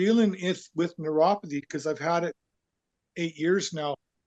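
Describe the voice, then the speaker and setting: In a western Canadian accent, a man speaks at a high pitch. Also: dry, close sound with no echo. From Canada, southern Alberta. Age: old. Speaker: program member, patient. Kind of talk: casual chat.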